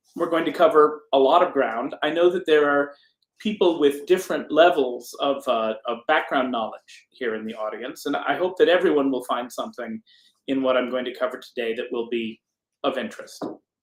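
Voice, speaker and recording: This man talks with lively intonation at a fairly high pitch. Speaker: psychiatry professor giving a lecture. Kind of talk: lecture. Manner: fast.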